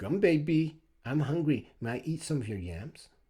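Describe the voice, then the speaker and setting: A man speaks at a moderate pace in a put-on character voice pitched fairly high. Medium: read story. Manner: petulant.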